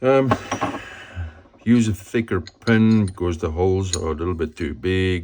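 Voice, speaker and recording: The speaker goes at a fairly slow pace with long, frequent pauses, in a non-native accent. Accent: non-native English, says it sounds weird. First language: not English. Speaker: motorcycle DIY youtuber. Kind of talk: hands-on repair tutorial. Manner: casual, thinking aloud.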